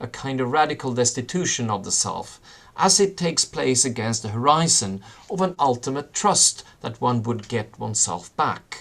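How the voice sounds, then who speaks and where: This man speaks in a Swedish accent at medium pitch, moderate pace and with lively intonation. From Sweden. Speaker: professor. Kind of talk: lecture. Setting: video call. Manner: halting.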